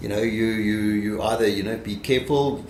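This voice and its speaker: A man of medium pitch talks at a fairly quick pace with fairly even intonation, amid noticeable background noise and audible room echo. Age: 60s. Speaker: company founder and startup investor. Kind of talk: interview. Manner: halting, many repetitions and fillers.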